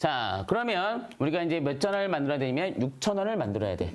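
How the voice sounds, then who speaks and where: This man's voice sits fairly high in pitch and swings very widely up and down. He talks at a fairly quick pace. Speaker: math teacher. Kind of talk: lecture. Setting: live stream.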